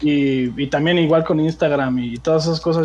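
The man's pitch is fairly high and his intonation fairly even as he talks at a moderate pace. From Mexico City. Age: 20s. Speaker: aspiring gaming youtuber. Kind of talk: casual interview. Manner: halting, many fillers.

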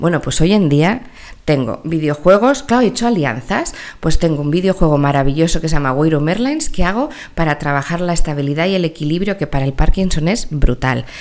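Speaking at a fairly quick pace, a woman with a fairly low pitch sounds animated, her intonation lively. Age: 40s. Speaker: entrepreneur and company founder in elderly care. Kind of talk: interview.

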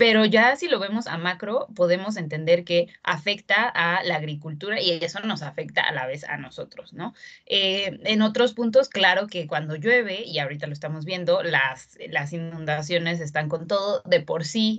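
A woman with an unremarkable speaking voice talks at a moderate pace with lively intonation. She hardly pauses. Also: fairly low pitch for a woman. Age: 20s. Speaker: zero-waste blogger. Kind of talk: casual interview.

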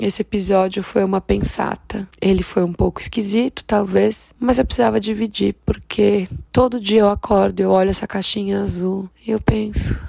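A woman keeps a moderate pace and hardly pauses at all. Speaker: podcaster. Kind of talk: casual monologue. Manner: animated.

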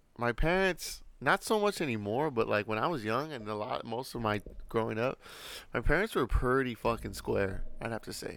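A plain, everyday voice from a man at medium pitch, with lively intonation, a moderate pace and a very clean recording over a silent background. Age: 30s. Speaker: podcast co-host. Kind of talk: casual chat. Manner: casual, filler-heavy.

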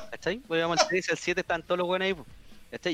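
This man speaks with a Chilean accent. His pace is very fast. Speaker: podcast guest. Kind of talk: casual chat.

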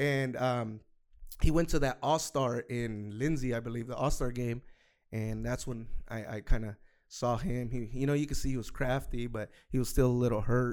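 The pace is moderate on a very clean recording with a silent background. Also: man, medium pitch for a man. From Fresno, California (Central Valley), Salvadoran heritage. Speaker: soccer guest, youth soccer coach. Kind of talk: casual chat. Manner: animated.

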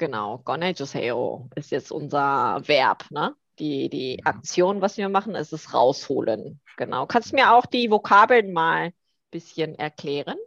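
Pitch swings very widely at a fairly slow pace. The sound is dry and close with no echo, over a quiet background. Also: woman, very deep, low pitch for a woman. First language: Korean (speaking German). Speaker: language teacher. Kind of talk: casual chat.

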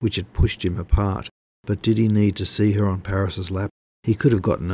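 Over a quiet background comes plain reading aloud with fairly even intonation.

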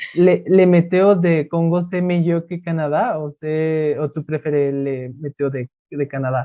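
Speaking very slowly, the man has a fairly high pitch and a fairly even intonation. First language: Spanish (speaking French). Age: 20s. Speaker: language student. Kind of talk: student interview. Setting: video call. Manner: halting.

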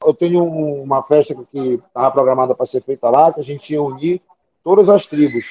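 Talking at a fairly quick pace, a man uses an ordinary speaking voice and ordinary pitch variation. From Santarém, Pará, northern Brazil. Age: 40s. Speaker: event promoter. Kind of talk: interview.

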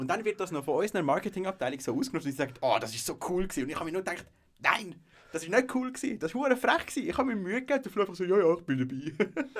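A man's high voice leaps very widely in pitch as he races along very fast. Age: 20s. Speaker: music association president and business student. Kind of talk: casual chat.

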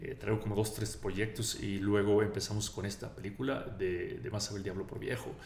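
A man's fairly low, vocal-fry voice with a Sonoran accent, fairly quick with hardly any pauses, fairly even in intonation, and touched by audible room echo. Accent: Sonoran Mexican accent, noticeable. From Mexico, Sonora. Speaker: film director. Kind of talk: casual interview. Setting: studio.

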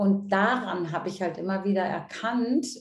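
Audible echo fills the room around this woman. She talks at a fairly slow pace with a medium pitch. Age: 50s. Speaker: coach and seminar leader. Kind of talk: interview.

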